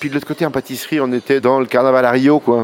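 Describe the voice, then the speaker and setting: A man talks at medium pitch with fairly even intonation. Noticeable background noise sits behind him. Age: 50s. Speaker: pastry chef. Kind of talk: interview. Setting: brasserie.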